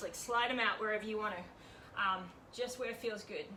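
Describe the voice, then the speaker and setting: Speaking at a fairly quick pace, a woman's fairly high voice moves with ordinary pitch variation amid audible room echo. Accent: Australian. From Australia. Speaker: home workout leader. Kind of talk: workout instruction. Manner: casual, chatty.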